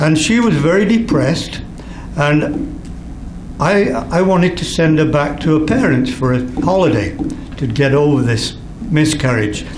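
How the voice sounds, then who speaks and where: A man's fairly high voice with lively intonation and very even loudness, moderate in pace with long, frequent pauses, amid noticeable background noise and audible room echo. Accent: English. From England. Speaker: retired art director. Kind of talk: anecdote telling to an audience. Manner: halting.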